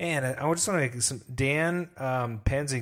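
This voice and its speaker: In a very clean recording with a silent background, a man with a plain, everyday voice speaks at a moderate pace and medium pitch, using ordinary pitch variation. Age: 40s. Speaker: podcast host. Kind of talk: casual chat. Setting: livestream.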